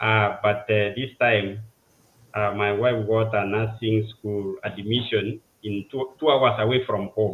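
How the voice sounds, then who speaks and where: This man's fairly low voice carries a Kenyan accent, moving at a fairly slow pace with monotone, flat intonation. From Kenya, village in western Kenya. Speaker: civil engineer. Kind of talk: interview, life story. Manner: halting, many fillers.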